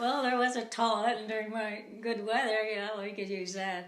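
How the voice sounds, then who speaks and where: Moderate pace and fairly even intonation in an American accent, with audible room echo. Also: woman. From US Upper Midwest, rural Minnesota. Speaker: interviewee. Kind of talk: casual chat.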